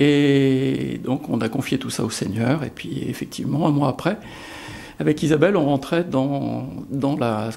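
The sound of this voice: This voice has vocal fry, a slightly mellow tone, ordinary pitch variation and a moderate pace. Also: man.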